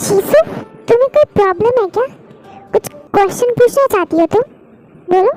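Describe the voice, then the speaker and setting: A woman uses a put-on character voice with an extremely high pitch and lively intonation, leaving long, frequent pauses. The sound is dry and close with no echo, and faint music plays in the background. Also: moderate pace. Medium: read story. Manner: cool, slightly arrogant.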